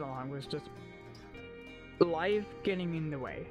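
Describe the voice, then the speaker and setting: There is music in the background while the talking proceeds at a moderate speed. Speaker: content creator, streamer. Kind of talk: casual talk to camera.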